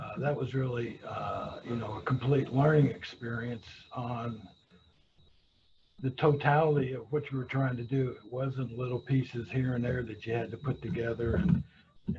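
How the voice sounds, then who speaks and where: A man's somewhat breathy voice, medium in pitch, with fairly even intonation at a moderate pace. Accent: American. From rural Kentucky, US South. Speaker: woodworker and carpentry teacher. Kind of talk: webinar talk. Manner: many fillers and hesitations.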